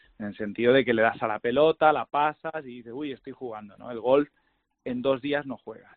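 A man's medium-pitched, normal speaking voice at a fairly quick pace, with fairly even intonation and big swings in loudness. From Andalusia. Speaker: golf industry guest. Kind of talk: casual interview. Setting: phone call.

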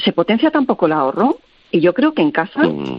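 A woman talks at a moderate pace. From Castilla-La Mancha, Spain. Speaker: recipe website creator, cook. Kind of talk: radio interview.

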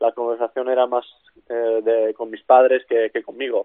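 A man's voice at a medium pitch. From Czech Republic. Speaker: basketball player. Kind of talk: interview. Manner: halting.

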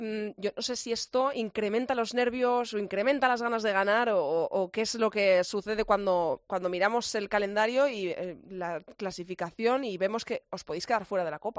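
With an unremarkable speaking voice, a woman talks at a fairly high pitch and moderate pace with ordinary pitch variation and hardly any pauses, in a dry, close sound with no echo over a quiet background. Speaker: radio host. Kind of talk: sports radio interview; sports radio news presentation.

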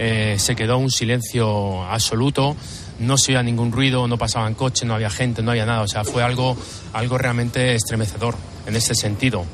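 A man speaks with fairly even intonation amid noticeable background noise. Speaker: firefighter. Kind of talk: testimony interview.

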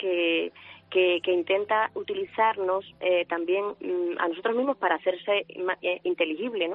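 A woman speaks at a fairly slow pace with a medium pitch. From Huelva, Andalusia, Spain. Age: 50s. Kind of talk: radio interview. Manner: halting, with many repetitions.

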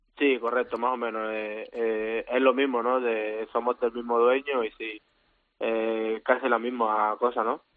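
A man speaks at a fairly slow pace in a flat monotone. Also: medium pitch for a man. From Colombia, Caribbean coast (Santa Marta). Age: 20s. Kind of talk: interview.

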